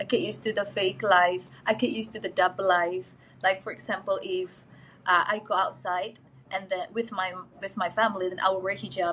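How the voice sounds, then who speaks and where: A woman speaks at a fairly quick pace with an Indonesian accent. Her pitch sits in the middle range, and her intonation stays fairly even. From Indonesia, Jakarta. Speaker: interview guest. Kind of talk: casual interview chat.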